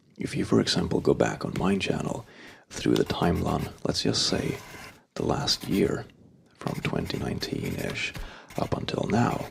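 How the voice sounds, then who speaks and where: Soft-spoken delivery at a moderate pace comes through over noticeable background noise. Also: man. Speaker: ASMR YouTuber. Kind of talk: casual talk to camera. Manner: soft-spoken, conversational.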